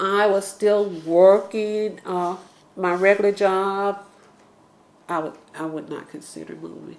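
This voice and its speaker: Speaking with an Atlanta accent, a woman uses a medium pitch and long, frequent pauses. Her loudness swings a lot. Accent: Southern American (Atlanta). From US South, Atlanta, Georgia. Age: 60s. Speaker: neighborhood resident interviewee. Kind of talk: oral history interview. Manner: hesitant, many fillers.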